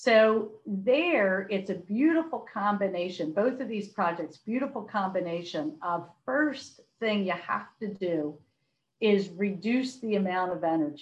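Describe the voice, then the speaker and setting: A woman with an American accent speaks in an unremarkable speaking voice at a medium pitch. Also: lively intonation. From US, Philadelphia. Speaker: corporate sustainability executive. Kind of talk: podcast interview.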